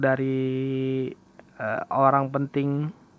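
A man talks at medium pitch in a flat monotone. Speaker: podcast host. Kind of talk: solo casual monologue. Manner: halting, many fillers.

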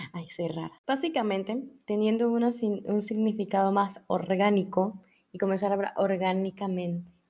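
A woman speaks at a moderate pace in a medium pitch, her tone dark and mellow and her intonation fairly even. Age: 20s. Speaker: podcast host. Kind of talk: casual monologue.

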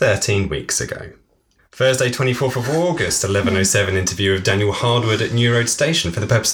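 Reading in a natural voice, the speaker shows ordinary pitch variation.

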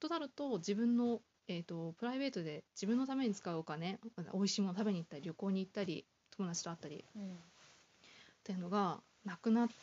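A woman talks at a very fast pace with a medium pitch and lively intonation. Her speech has long, frequent pauses. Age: 20s. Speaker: office worker guest. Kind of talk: casual interview. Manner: halting.

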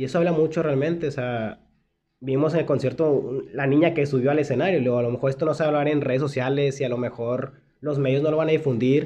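Speaking at a very fast pace, a man has a fairly high pitch and fairly even intonation. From Mexico, Monterrey. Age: 20s. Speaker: podcast co-host. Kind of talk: casual chat.

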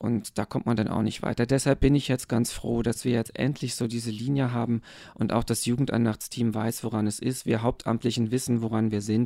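A man's dark, mellow voice at medium pitch, fairly quick in pace, with monotone, flat intonation. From eastern Germany. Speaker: pastor. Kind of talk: casual interview.

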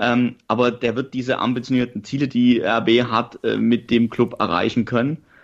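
Over a quiet background, a man of medium pitch speaks at a moderate pace in a monotone, flat intonation, with hardly any pauses. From Saxony, Germany. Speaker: football podcast co-host, journalist. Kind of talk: casual chat.

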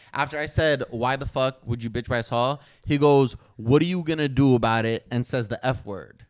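An unremarkable speaking voice from a man, medium in pitch, with ordinary pitch variation and a moderate pace, on a very clean recording with a silent background. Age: 30s. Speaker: YouTuber and boxer. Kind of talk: casual chat.

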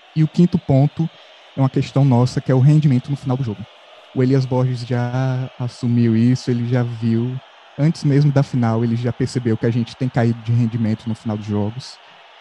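Recorded with a dry, close sound and no echo but noticeable background noise, a man speaks at medium pitch with fairly even intonation. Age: 20s. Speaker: journalism student, football podcast co-host. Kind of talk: casual chat.

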